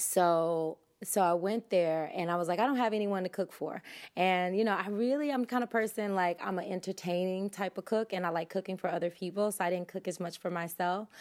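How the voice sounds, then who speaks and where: A woman's normal speaking voice, medium in pitch with ordinary pitch variation, at a fairly quick pace, with an American accent, on a very clean recording with a silent background. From US South. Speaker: yoga instructor and holistic health coach. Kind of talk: casual interview.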